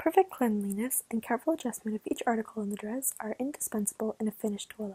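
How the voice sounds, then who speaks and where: A woman's fairly high, somewhat breathy voice with ordinary pitch variation and a dry, close sound with no echo. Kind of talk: ASMR story reading. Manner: whispered.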